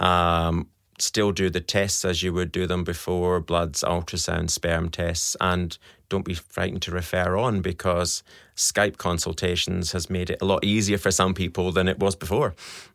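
A man's very deep, low voice in a Scottish accent, monotone and flat, at a moderate pace on a very clean recording with a silent background. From Scotland. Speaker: fertility specialist doctor. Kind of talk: interview.

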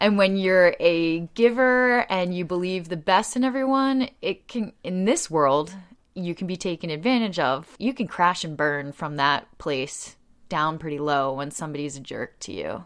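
A woman's fairly low voice in an American accent, with very wide pitch swings, a moderate pace, and a very clean recording over a silent background. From US, Delaware County outside Philadelphia. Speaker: community group founder. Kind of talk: interview conversation. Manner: loud; talkative, laughs often.

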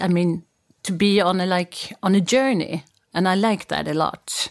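A woman speaks with a Swedish accent at medium pitch and ordinary pitch variation. The recording is very clean, with a silent background. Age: 50s. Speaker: media executive. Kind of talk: interview.

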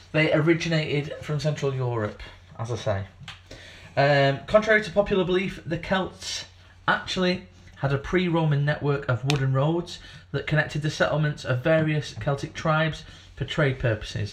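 A man with a fairly high pitch sounds somewhat breathy, with ordinary pitch variation. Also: moderate pace. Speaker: podcast co-host. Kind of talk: casual banter podcast chat.

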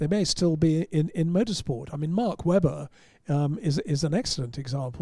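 A man's fairly high, somewhat breathy voice with a dark, mellow tone, on a very clean recording over a silent background. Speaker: motorsport writer and broadcaster. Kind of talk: casual chat.

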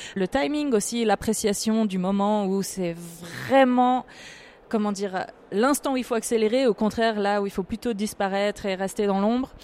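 A plain, everyday voice from a woman at medium pitch, with ordinary pitch variation and a moderate pace. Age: 30s. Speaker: politician and professional cellist. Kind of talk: interview.

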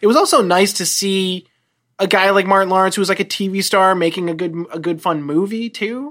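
A woman with a normal speaking voice, a fairly quick pace and ordinary pitch variation. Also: medium pitch for a woman. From New Jersey, US. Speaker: television writer, former medical researcher. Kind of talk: casual chat.

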